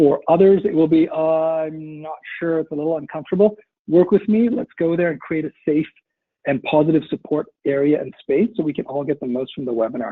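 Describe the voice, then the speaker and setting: A man's fairly high-pitched voice at a fairly quick pace, with ordinary pitch variation. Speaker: webinar coach. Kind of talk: guided breathing exercise; webinar presentation. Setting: online webinar. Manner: louder than normal.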